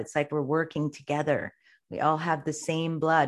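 Against a quiet background, a woman speaks in a very deep, low voice. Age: 50s. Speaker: yoga teacher and astrology reader. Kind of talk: interview.

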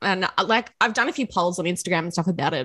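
A woman with an Australian accent speaks at a fairly low pitch with ordinary pitch variation, and the sound is dry and close with no echo. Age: 30s. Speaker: podcast host. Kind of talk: casual chat.

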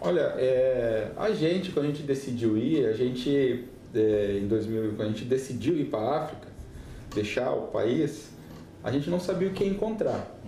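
Audible room echo surrounds a man speaking at a moderate pace. His voice sits at a medium pitch with lively intonation. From Rio Grande do Sul, southern Brazil. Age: 40s. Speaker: missionary pastor. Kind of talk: podcast interview testimony.

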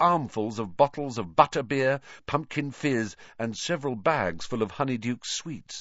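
Someone is reading aloud in a natural voice while the pitch varies in an ordinary way.

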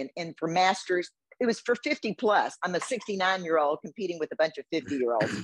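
A woman with an American accent talks at a moderate pace, her medium-pitched voice swinging very widely. The sound is dry and close, with no echo. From Houston, Texas. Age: 70s. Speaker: bodybuilding competitor and retired business owner. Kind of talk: casual interview.

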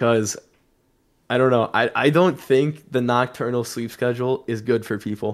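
A man's unremarkable speaking voice with fairly even intonation. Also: medium pitch for a man, moderate pace, very clean recording, silent background. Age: 20s. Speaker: esports player and content creator. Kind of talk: casual chat.

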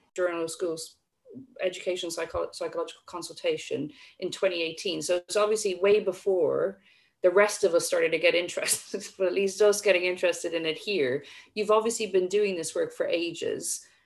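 A woman talks at a fairly quick pace. She has an Irish accent. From Ireland. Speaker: psychology course director and co-host. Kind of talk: interview. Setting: video call.

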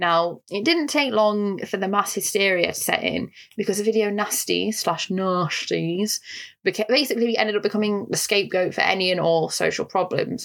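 At a moderate pace, a woman with a northern English accent talks with ordinary pitch variation. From northern England. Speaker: podcast co-host. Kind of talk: casual discussion.

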